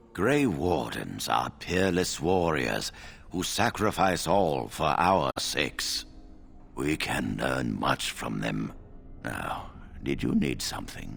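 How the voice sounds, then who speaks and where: A man speaks at a fairly slow pace in a put-on character voice, with clear background noise behind him. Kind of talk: video game dialogue. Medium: video game. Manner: measured, formal, authoritative.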